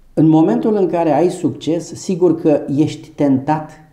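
Against a quiet background with audible room echo, a man speaks at a very slow pace in a dark, mellow tone, pitched fairly high with ordinary pitch variation. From Romania, Ilfov county near Bucharest; Romania. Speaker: doctor and medical business owner. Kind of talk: interview. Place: office. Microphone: lapel.

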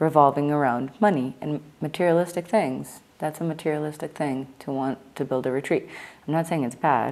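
A woman's very deep, low-pitched voice. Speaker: spiritual vlogger. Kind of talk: casual vlog monologue. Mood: earnest, reflective, critical. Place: home room. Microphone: lapel.

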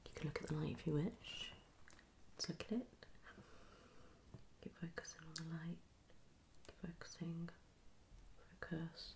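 Soft-spoken and at a moderate pace, a woman leaves long, frequent pauses against noticeable background noise. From UK. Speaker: ASMR creator. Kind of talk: ASMR video. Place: home room. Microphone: phone near.

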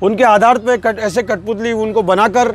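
A man at a fairly slow pace with ordinary pitch variation, in a dry sound with no echo, crowd noise in the background. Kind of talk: interview answer. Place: tent.

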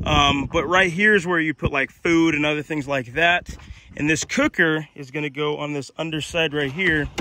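A man's voice comes through dry with no echo, moving at a moderate pace while noticeable background noise plays beneath. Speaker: solo explorer vlogger. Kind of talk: casual vlog chat. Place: open country. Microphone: phone near.

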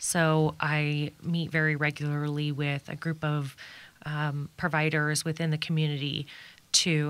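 Monotone and flat in intonation, a woman speaks at a very deep, low pitch. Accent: Midwestern American. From Kansas, Wichita. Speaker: suicide prevention nonprofit founder. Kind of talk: radio interview.

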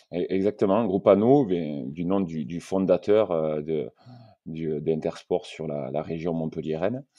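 At a very slow pace, a man talks with a very deep, low pitch and ordinary pitch variation. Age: 40s. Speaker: sporting goods store owner. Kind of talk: interview. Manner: hesitant, many fillers.

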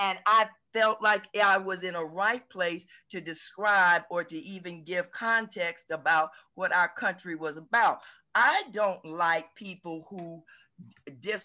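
A woman's very slow speech with big swings in loudness and ordinary pitch variation. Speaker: class participant, former public administrator. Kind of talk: discussion comment. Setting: video call. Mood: earnest, somewhat indignant. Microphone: video call.

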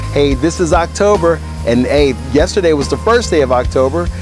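With clear music in the background, a man speaks at a fairly slow pace in a very deep, low pitch, the sound dry with no echo. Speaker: church announcer. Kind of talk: announcements to camera. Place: garden.

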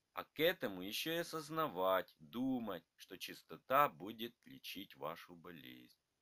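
A man with a fairly low pitch and a bright, sharp tone speaks fairly slowly, swinging very widely in pitch and greatly in loudness, the sound dry and close with no echo. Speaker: narrator reading both grandfather and grandson parts. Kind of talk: scripted dialogue between grandfather and grandson, read aloud.

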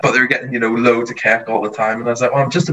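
A man with a Northern Irish accent, medium pitch, a bright, sharp tone and fairly even intonation, over a quiet background. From rural Northern Ireland. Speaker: TV baking contestant; interviewee. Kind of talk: casual interview chat. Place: home room. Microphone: video call.

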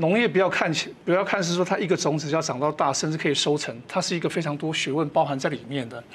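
Speaking very fast, a man uses ordinary pitch variation. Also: hardly any pauses. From Taiwan, Amis, Hualien; Taiwan. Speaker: retired colonel and organic farmer; guest. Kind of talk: TV panel interview. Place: studio. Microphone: lapel.

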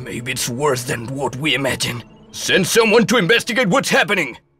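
Faint music plays in the background as a man does a cartoonish character voice at a fairly high pitch and moderate pace. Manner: gloating, commanding.

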